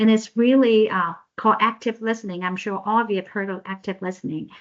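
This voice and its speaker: With a non-native accent, a woman talks using ordinary pitch variation. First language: not English. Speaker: professor and social worker. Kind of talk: presentation. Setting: video call. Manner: halting.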